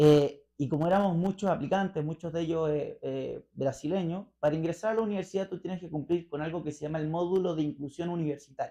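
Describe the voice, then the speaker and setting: Speaking very fast with hardly any pauses, the voice has a dark, mellow tone, fairly even intonation and a Chilean accent. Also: man, high pitch for a man. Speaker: interview guest, libertarian commentator. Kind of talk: radio interview. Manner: hesitant, many fillers.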